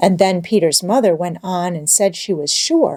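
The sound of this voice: The speaker uses an unforced reading voice. It comes through as the text is read.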